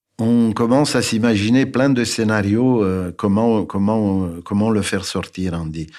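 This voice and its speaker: With a Romanian accent, a man speaks at a fairly slow pace and a fairly low pitch, with ordinary pitch variation. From Romania, Bucharest. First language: Romanian (speaking French). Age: 70s. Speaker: architect. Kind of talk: testimony. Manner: halting.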